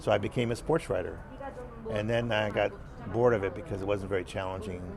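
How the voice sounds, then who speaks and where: A man talks at a very fast pace in an American accent with ordinary pitch variation. Noticeable background noise runs underneath. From US. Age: 60s. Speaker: screenwriter. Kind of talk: interview. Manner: halting, many fillers.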